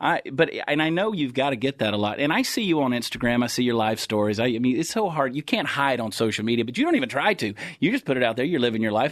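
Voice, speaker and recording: Lively in intonation, a man with a Texan accent talks at a very fast pace. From Texas. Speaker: podcast host and comedian. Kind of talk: casual interview chat. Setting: studio.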